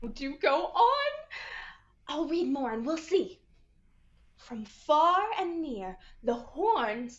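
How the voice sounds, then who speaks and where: A put-on character voice drawls at a very slow pace. Long, frequent pauses break up the speech. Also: female-sounding voice, high pitch for a woman. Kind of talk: 1940s radio acting. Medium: stage play. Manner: genteel, drawling exclamations.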